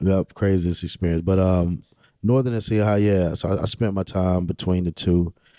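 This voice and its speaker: A man with an eastern North Carolina accent speaks at a moderate pace in a very deep, low, dark, mellow voice with fairly even intonation and very even loudness. The sound is dry and close with no echo, on a very clean recording with a silent background. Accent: US Southern (eastern North Carolina). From Rocky Mount, eastern North Carolina. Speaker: city councilman and pastor. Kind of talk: casual interview chat.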